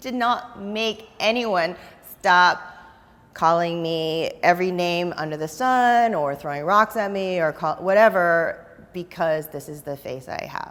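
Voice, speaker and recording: In a General American accent, a woman with an unremarkable speaking voice talks at a fairly slow pace and medium pitch, her pitch varying normally while her loudness swings widely. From Northern California (Oakland). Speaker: dancer and choreographer. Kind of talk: interview. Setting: dance studio.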